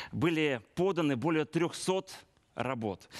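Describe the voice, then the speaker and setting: A man with an ordinary speaking voice and a fairly high pitch talks with lively intonation, the sound dry and close with no echo against a quiet background. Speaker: TV presenter. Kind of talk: moderated TV studio event. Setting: studio.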